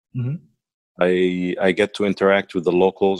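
A man with an Arabic accent speaks at a fairly quick pace in a very deep, low pitch, the sound dry and close with no echo. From Egypt, Cairo. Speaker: interviewee, expat professional. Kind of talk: interview.

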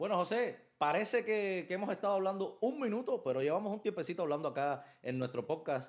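Here a man speaks at a very fast pace. His pitch is high. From Cuba, Villa Clara. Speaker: baseball podcast host. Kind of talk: casual chat.

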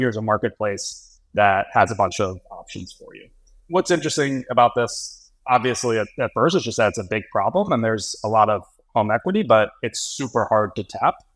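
With an American accent, a man uses a normal speaking voice at a medium pitch and a fairly quick pace. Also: big swings in loudness. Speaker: fintech investor. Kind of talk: casual chat.

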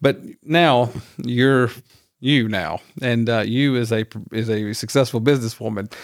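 A man speaks at a medium pitch with ordinary pitch variation, leaving long, frequent pauses. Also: fairly slow pace. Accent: American. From rural Georgia, US South. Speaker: podcast host. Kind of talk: interview. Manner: halting, many fillers.

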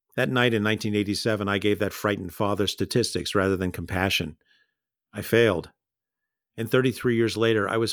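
At a fairly quick pace, a man with a plain, everyday voice speaks in a fairly low pitch with fairly even intonation, on a very clean recording with a silent background. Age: 60s. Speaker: pediatrician. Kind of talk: storytelling performance. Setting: home recording.

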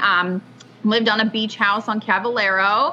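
A woman with an American accent, fairly even intonation, and a fairly slow pace over noticeable background noise. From Washington State, US. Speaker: chamber of commerce executive director. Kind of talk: casual interview.

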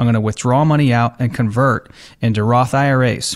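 Recorded very cleanly against a silent background, a man with a plain, everyday voice speaks at a medium pitch with ordinary pitch variation. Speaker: financial advisor, radio host. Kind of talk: explanatory financial talk. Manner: explanatory, conversational.

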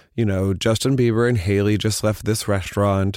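A man with an ordinary speaking voice talks at a fairly low pitch and moderate pace in a very clean recording with a silent background. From US Midwest. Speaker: fashion journalist. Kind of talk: casual chat.

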